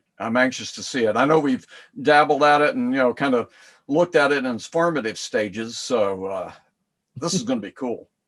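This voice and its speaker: In a Southern US accent, a man speaks at a fairly quick pace and fairly high pitch with ordinary pitch variation. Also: quiet background. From US South. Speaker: co-host. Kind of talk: casual chat.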